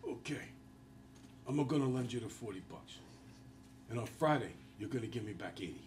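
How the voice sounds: Putting on a raspy character voice with an Italian accent, a man at medium pitch speaks at a fairly quick pace with long, frequent pauses over clear background noise.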